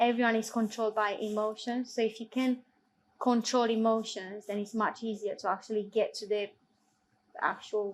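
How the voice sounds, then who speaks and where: A woman with a non-native accent and a fairly high pitch speaks at a moderate pace with monotone, flat intonation. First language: not English. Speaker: football assistant referee. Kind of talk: Q&A interview.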